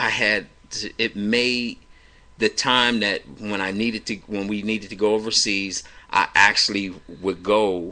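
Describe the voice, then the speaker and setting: Loud and bright with a sharp tone, a man with an American accent speaks at a moderate pace in a fairly low pitch with monotone, flat intonation. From Cleveland, Ohio. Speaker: evangelist radio host. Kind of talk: personal testimony.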